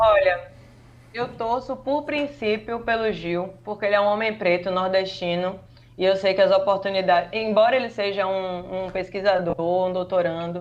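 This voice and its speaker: Medium pitch from a woman with a northeastern Brazilian accent, with ordinary pitch variation and a moderate pace. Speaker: journalist and communication researcher. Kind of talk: podcast interview. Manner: animated.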